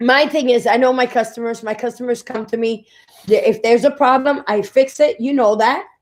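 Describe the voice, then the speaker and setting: A woman with a New York accent talks at a fairly quick pace in a high pitch, her intonation fairly even. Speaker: restaurant owner and co-host. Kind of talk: casual chat. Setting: live stream. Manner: loud.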